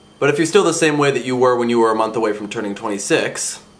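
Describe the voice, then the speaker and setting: A man's voice, with ordinary pitch variation, carries audible room echo and noticeable background noise. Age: 20s. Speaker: vlogger. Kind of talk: casual vlog monologue.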